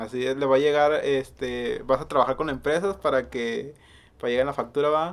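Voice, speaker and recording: A man with an unremarkable speaking voice talks at a fairly high pitch. His pace is fairly quick and his intonation fairly even. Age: 30s. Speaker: podcast host. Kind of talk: casual chat.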